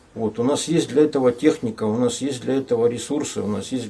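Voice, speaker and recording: A man's voice, dark and mellow in tone, moves along fairly quickly. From Arkhangelsk region, northern Russia. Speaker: artist and scientist. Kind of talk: radio talk show. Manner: hesitant, many fillers.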